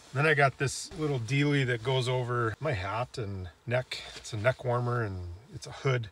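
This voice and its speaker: A man speaks at a moderate pace in a somewhat breathy voice. The sound is dry with no echo. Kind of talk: tutorial. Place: open country. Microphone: camera far.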